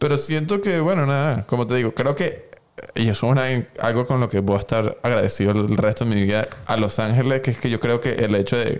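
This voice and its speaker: In a plain, everyday voice, a man speaks at a fairly quick pace and medium pitch, with ordinary pitch variation and very even loudness. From Venezuela. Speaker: photographer. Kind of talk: casual interview chat.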